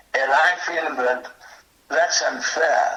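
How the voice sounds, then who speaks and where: At a very slow pace, a man speaks amid noticeable background noise. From Cyprus. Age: 70s. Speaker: newspaper columnist. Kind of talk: interview.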